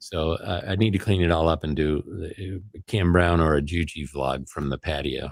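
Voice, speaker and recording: At a moderate pace, a man with an American accent speaks in a very deep, low pitch. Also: ordinary pitch variation. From US Midwest, Chicago area. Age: 60s. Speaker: vlogger. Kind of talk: casual chat. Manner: halting.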